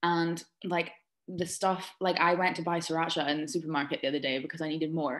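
A woman with an Aberdeen accent, fairly low pitch, a very fast pace, flat monotone delivery and long, frequent pauses. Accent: Scottish (Aberdeen). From Scotland, Aberdeen. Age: 20s. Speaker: social media influencer. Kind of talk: casual chat.

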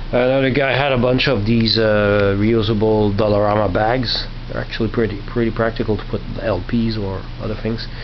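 A man's voice over noticeable background noise. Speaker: vlogger showing flea market finds. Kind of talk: casual vlog chat. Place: home room. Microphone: phone near.

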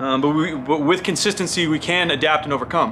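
A man talks fairly quickly with ordinary pitch variation over light background noise. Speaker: fitness coach vlogger. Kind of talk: casual vlog commentary. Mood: opinionated, emphatic. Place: studio.

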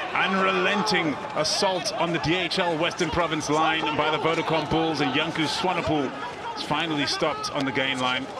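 There is noticeable background noise behind this recording. A man speaks at a moderate pace and a fairly high pitch with ordinary pitch variation. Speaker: sports commentator. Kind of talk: live rugby commentary, broadcast-style play-by-play. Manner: clipped, urgent delivery that swells at tries.

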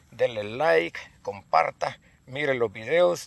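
A man's voice carries vocal fry and very wide pitch swings in a dry sound with no echo. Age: 50s. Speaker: hunting vlogger; hunter vlogger. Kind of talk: casual vlog; casual vlog chat. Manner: halting. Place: open country. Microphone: phone near.

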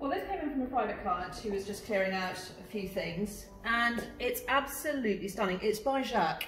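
The speaker sounds enthusiastic, with lively intonation and a moderate pace with hardly any pauses. Audible room echo and light background noise are present. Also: woman, fairly high pitch for a woman. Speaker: auctioneer and valuer. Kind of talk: presenting auction lots to camera. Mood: warm, enthusiastic. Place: shop.

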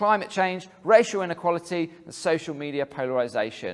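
The pace is moderate as a man speaks. The pitch variation is ordinary. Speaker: speaker. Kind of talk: sermon. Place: hall.

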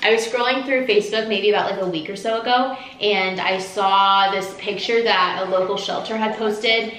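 A woman's voice with fairly even intonation and hardly any pauses, in audible room echo. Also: moderate pace. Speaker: lifestyle vlogger. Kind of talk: casual vlog chat. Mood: warm, affectionate. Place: home room. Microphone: camera far.

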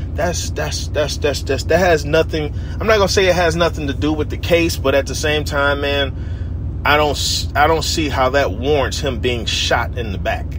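A man's animated tone at a moderate pace, with hardly any pauses and noticeable background noise. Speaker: radio-style show host. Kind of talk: casual rant-style talk show. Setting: on the road, recorded while traveling. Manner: animated, conversational; halting, with frequent fillers and repeats.

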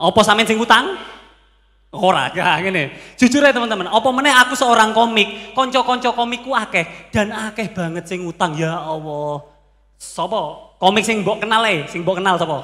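A man speaks at a moderate pace in a high, raised and projected voice. His tone is animated and his intonation lively. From Pasuruan, East Java; East Java, Indonesia. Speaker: stand-up comedian (competitor). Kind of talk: stand-up comedy; stand-up comedy routine. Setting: stage with audience. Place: stage. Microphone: handheld.

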